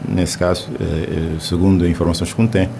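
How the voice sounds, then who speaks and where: A man at a moderate pace with ordinary pitch variation, amid noticeable background noise and audible room echo. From Cape Verde. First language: Cape Verdean Creole (speaking Portuguese). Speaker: poet. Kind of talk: radio interview. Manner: halting.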